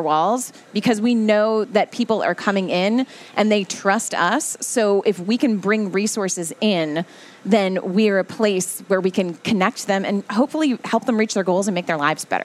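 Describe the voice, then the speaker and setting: The speaker has a plain, everyday voice and an American accent. Delivery is at a moderate pace with very even loudness. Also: woman. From New Jersey. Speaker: library spokesperson, former TV journalist. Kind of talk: casual radio interview. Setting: radio studio.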